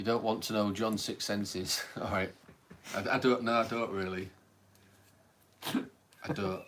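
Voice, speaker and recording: A man with a Hull accent speaks at a fairly slow pace in a fairly low voice, with fairly even intonation and long, frequent pauses. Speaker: paranormal livestream host. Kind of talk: casual chat.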